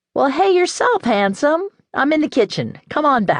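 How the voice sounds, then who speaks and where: In a put-on character voice, a female-sounding speaker talks at a moderate pace, high for a woman, with very wide pitch swings. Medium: read story. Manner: warm, homey.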